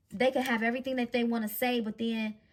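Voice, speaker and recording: A woman's fairly high, somewhat breathy voice at a fairly quick pace, with fairly even intonation. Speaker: tarot card reader. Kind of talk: psychic reading monologue. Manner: stutters at times; stumbling over words today.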